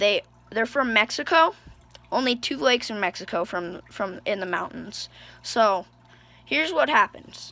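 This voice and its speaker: With long, frequent pauses, a woman speaks at a fairly high pitch in a bright, sharp tone, her pitch swinging very widely. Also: moderate pace. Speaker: amphibian and reptile keeper. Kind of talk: casual pet care talk to camera. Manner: stuttering, hesitant.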